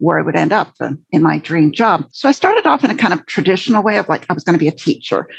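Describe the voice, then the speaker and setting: At a very fast pace, a woman speaks with an American accent against a quiet background. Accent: sounds American. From Canada, English family. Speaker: LinkedIn trainer and career coach. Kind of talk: podcast interview.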